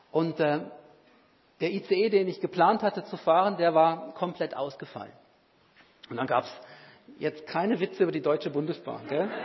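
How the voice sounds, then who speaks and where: Long, frequent pauses at a moderate pace. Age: 50s. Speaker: lay preacher. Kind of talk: sermon.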